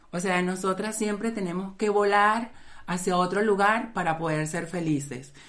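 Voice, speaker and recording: There is audible room echo as a woman speaks with ordinary pitch variation. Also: medium pitch for a woman, moderate pace. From Venezuela. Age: 30s. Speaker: podcast co-host. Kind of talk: casual chat.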